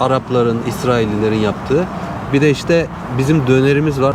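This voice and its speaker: Over noticeable background noise and audible room echo, a man talks at a moderate pace with a medium pitch and ordinary pitch variation. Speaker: travel vlogger. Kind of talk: casual chat.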